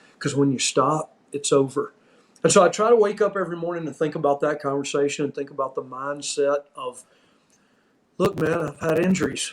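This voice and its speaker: A man with an American accent and an unremarkable speaking voice talks at a moderate pace. His pitch is fairly high, with ordinary variation. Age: 60s. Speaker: former pro wrestling referee. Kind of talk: casual chat.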